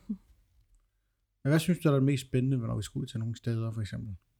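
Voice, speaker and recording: A man talks at a medium pitch. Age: 30s. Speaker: podcast host, ghost hunter. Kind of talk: casual chat.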